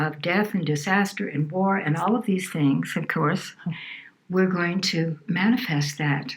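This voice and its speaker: A woman's medium-pitched voice at a fairly slow pace and very even loudness, with noticeable background noise. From New Orleans, Louisiana. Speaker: healer and environmental advocate. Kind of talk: interview answer.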